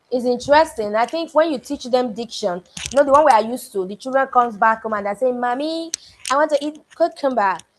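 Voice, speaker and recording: The talk comes at a very fast pace in a Nigerian accent. Pitch varies in an ordinary way. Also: woman, high pitch for a woman. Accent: Benin (Nigerian). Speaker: book club coach. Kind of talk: online class feedback.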